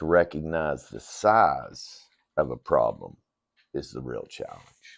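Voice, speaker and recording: A man at a fairly slow pace with very wide pitch swings, over a quiet background. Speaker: ministry leader. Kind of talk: inspirational message. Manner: conversational, halting.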